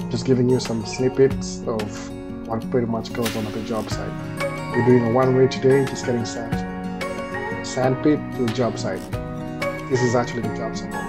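Over loud background music, a man speaks at a moderate pace with long, frequent pauses. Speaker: truck driver vlogger. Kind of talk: casual vlog chat. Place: car. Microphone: phone near.

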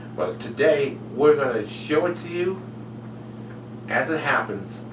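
Noticeable background noise sits under a man's voice. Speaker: web show host. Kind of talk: show host intro. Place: home room. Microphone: webcam.

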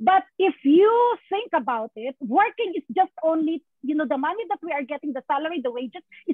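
An extremely high-pitched woman speaks in an animated tone at a moderate pace, with very wide pitch swings. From Philippines. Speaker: nurse and event host. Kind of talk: online event hosting. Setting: video call.

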